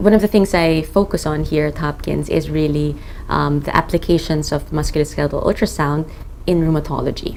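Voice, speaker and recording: A woman's very deep, low pitch at a fairly quick pace, with fairly even intonation and noticeable background noise. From Philippines. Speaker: rheumatologist. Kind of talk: interview monologue.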